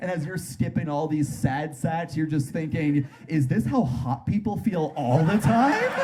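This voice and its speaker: Against noticeable background noise, a man with a fairly high pitch speaks at a fairly slow pace with lively intonation. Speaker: stand-up comedian. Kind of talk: stand-up comedy performance.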